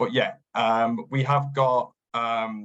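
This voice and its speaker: The speaker has a northern English accent. The intonation stays fairly even. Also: man. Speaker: business development manager. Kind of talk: webinar presentation. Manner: hesitant, many fillers.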